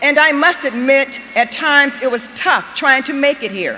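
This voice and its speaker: Over noticeable background noise, a woman projects a raised, high-pitched voice at a fairly slow pace. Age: 70s. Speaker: student speaker. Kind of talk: commencement speech.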